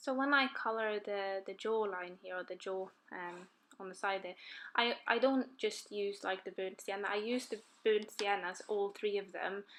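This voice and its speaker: Speaking at a moderate pace with a non-native accent, a woman uses a medium pitch and fairly even intonation, with big swings in loudness. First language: not English. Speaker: colouring YouTuber. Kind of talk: tutorial. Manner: halting, many fillers.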